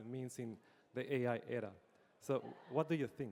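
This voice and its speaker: Speaking at a moderate pace, a man has a Spanish accent. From Spain. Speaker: engineering executive and panel moderator. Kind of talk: panel discussion.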